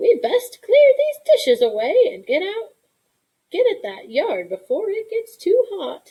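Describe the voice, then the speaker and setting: In a squeaky, put-on character voice, a woman speaks at an extremely high pitch and a fairly slow pace, with big swings in loudness. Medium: read story. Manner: warm, homey, drawling.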